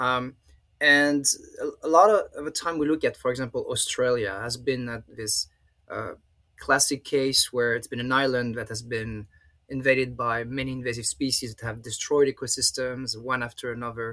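With a French accent, a man speaks at a medium pitch and moderate pace, his tone bright and sharp and his intonation fairly even. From France. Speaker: professor. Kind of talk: interview. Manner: halting.

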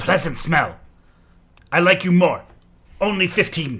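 The delivery is fairly slow. It comes in a put-on character voice. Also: man, high pitch for a man. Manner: gruff, pleased.

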